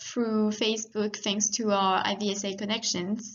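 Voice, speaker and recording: A woman with a French accent talks at a fairly high pitch. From France. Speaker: veterinary student, course moderator. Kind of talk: presentation.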